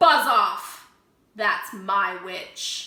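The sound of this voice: A put-on character voice, growling and croaky, with slight echo. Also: woman.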